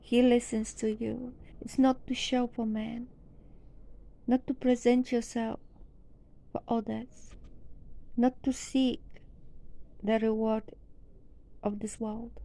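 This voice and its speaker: With a non-native accent, a woman speaks at a very slow pace in a high pitch, her dark, mellow tone and monotone, flat intonation broken by long, frequent pauses. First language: not English. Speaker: religious teacher. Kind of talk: sermon.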